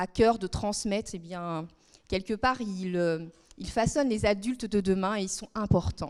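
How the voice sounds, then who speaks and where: At a fairly slow pace, a woman of medium pitch talks with ordinary pitch variation. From France, southern Brittany (Guérande). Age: 40s. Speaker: member of parliament. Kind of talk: talk to students. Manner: hesitant, many fillers.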